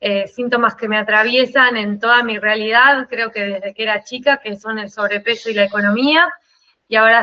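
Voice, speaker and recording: A woman with an Argentine accent, fairly high in pitch, at a moderate pace and with fairly even intonation. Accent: Rioplatense Argentine Spanish. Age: 40s. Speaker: life consultant. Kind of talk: interview.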